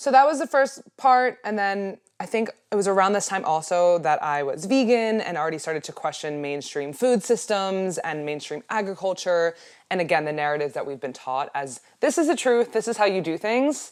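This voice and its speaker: In a very clean recording with a silent background, a woman speaks at a moderate pace in a medium pitch with very wide pitch swings. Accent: American. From US, Baltimore, Maryland. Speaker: holistic health coach. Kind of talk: podcast interview.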